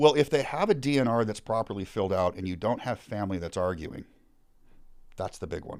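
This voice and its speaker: In a very clean recording with a silent background, a man with an American accent talks at a fairly quick pace in an ordinary speaking voice, his fairly low pitch carrying lively intonation. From suburbs of Seattle, Washington. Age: 50s. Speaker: former firefighter. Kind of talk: casual interview conversation.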